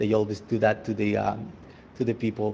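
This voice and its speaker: Fairly low-pitched and dark, mellow in tone, a man talks at a fairly quick pace with monotone, flat intonation. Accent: Spanish. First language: Spanish. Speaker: resident speaking at public comment. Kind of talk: public comment at council meeting. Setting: town council meeting. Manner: halting.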